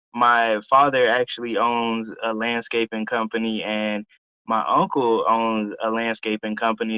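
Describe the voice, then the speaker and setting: A man's medium-pitched voice, an ordinary speaking voice, with an American accent and a fairly slow pace. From US South, Atlanta, Georgia. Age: 20s. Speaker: entrepreneur and drone operator. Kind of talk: interview.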